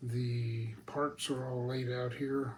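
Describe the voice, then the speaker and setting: A somewhat breathy, relaxed man with an American accent, medium pitch and fairly even intonation. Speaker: RC model airplane hobbyist reviewer. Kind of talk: product assembly tutorial. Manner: casual, relaxed.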